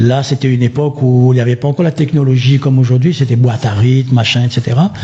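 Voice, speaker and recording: A man talks at a very fast pace with very even loudness and fairly even intonation. Noticeable background noise runs beneath him. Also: medium pitch for a man. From Réunion. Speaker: singer. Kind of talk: radio interview. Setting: radio studio.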